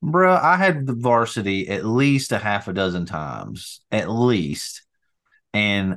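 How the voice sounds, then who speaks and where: A man with an Appalachian accent, fairly low pitch and very wide pitch swings against a quiet background. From North Alabama. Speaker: podcast co-host. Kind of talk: casual chat.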